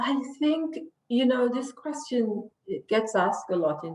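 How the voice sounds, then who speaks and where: A woman's vocal fry at a very slow pace, with very wide pitch swings. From Jamaica. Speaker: lawyer. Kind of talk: interview.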